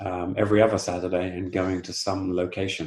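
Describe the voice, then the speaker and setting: In a southern English accent, a man talks at a moderate pace with a very deep, low pitch. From southern England, Southampton. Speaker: football club co-owner. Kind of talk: interview. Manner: halting, many fillers.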